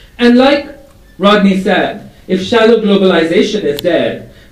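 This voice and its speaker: Over noticeable background noise, a man talks at a fairly slow pace in a high pitch with lively intonation. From India. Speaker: advertising strategy executive. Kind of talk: conference presentation.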